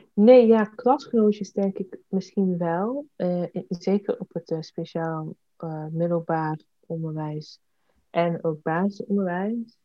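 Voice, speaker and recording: The voice moves at a very slow pace with ordinary pitch variation. Its loudness swings widely. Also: woman. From Eindhoven, North Brabant, Netherlands. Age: 20s. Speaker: parliamentary candidate and activist. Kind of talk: interview. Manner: hesitant, many fillers.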